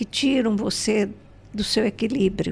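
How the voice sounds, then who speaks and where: Very slowly, a woman speaks at medium pitch with vocal fry. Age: 80s+. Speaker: spiritual teacher and entrepreneur. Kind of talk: podcast interview.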